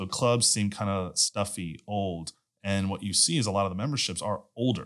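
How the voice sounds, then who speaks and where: With an American accent, a man talks in an ordinary speaking voice at a fairly low pitch, keeping a moderate pace and ordinary pitch variation. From Houston, Texas. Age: 30s. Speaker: energy company executive. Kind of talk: casual chat.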